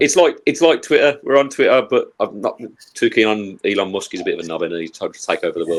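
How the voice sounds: Speaking at a very fast pace, a man talks with a Birmingham accent. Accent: Birmingham (Brummie).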